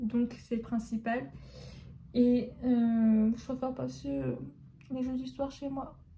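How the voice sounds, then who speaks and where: Over noticeable background noise, a woman with a fairly high pitch and ordinary pitch variation speaks at a very slow pace with long, frequent pauses. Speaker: pharmacy student vlogger. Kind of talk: casual vlog talk. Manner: hesitant.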